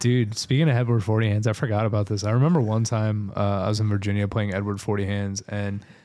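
A man with an ordinary speaking voice talks at a fairly quick pace and a fairly low pitch, his intonation fairly even, in a very clean recording with a silent background. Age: 20s. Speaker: podcast co-host. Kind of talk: casual chat.

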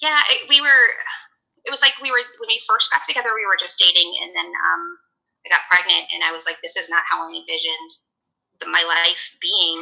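A woman talks at a fairly quick pace with big swings in loudness. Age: 40s. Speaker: guest sharing personal story. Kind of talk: interview, personal story.

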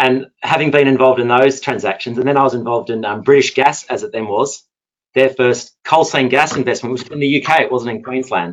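Here a man speaks with an Australian accent at medium pitch. His pitch variation is ordinary and his pace fairly quick. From Perth, Australia. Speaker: energy lawyer. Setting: online webinar.

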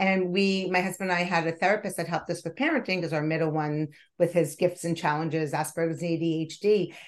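A woman talks very fast at a fairly low pitch. Her intonation is fairly even, and the background is quiet. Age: 50s. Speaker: wellness podcast host and nonprofit founder. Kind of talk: interview.

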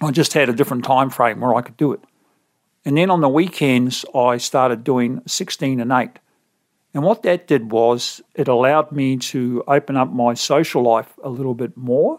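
This man has a medium-pitched voice with an Australian accent. He speaks at a moderate pace with ordinary pitch variation. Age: 50s. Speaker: podcast host and author sharing weight-loss story. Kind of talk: interview conversation.

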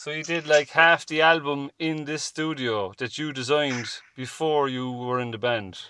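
A man with a Cork accent talks at a moderate pace in a bright, sharp tone. His pitch moves with ordinary variation. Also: fairly high pitch for a man. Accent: Cork Irish. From Ireland, Cork. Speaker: podcast host. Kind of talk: casual chat.

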